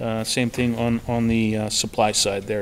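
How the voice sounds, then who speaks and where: Over light background noise, a man talks at a moderate pace. His intonation is monotone and flat. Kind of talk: meeting budget presentation. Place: meeting room. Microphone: podium.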